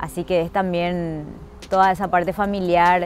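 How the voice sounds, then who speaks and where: A woman speaks with music playing behind her. The sound is dry, with no echo. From Paraguay. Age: 30s. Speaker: actress. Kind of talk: interview answer. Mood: warm, grateful. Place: street.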